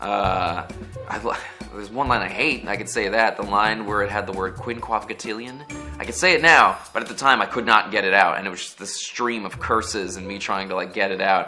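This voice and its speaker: With music in the background, a man speaks fairly quickly in a relaxed tone, his fairly low voice showing big swings in loudness. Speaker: voice actor. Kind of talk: interview answer. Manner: casual, relaxed.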